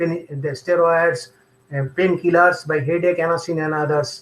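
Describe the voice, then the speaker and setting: A high-pitched man at a moderate pace, with a Bengali accent. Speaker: homeopathic doctor. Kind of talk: lecture with Q&A. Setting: live online webinar. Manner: halting, repetitive.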